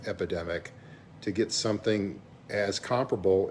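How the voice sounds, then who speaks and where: With a Southern US accent, a man talks at a fairly slow pace in a fairly low voice. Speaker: vlogger, businessperson. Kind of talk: casual vlog monologue. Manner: halting, many fillers.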